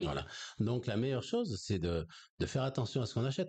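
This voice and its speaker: A man's somewhat breathy voice with a dark, mellow tone over a quiet background. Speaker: energy healer and spiritual teacher; spiritual teacher. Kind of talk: conversational interview on esoteric topics. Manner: hesitant, many fillers. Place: home room. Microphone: studio mic.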